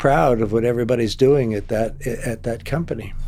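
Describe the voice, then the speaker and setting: A man talks at a medium pitch. Noticeable background noise and audible room echo fill the recording. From US Midwest, Ohio. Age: 80s+. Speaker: retired technology executive. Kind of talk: casual interview chat. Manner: halting.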